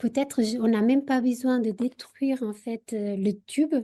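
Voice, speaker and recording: In a Portuguese accent, a woman speaks at a fairly slow pace with a dark, mellow tone and a somewhat breathy voice over a quiet background. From Portugal. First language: Portuguese (speaking French). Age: 40s. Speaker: university researcher. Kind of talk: radio interview. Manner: halting, many hesitations.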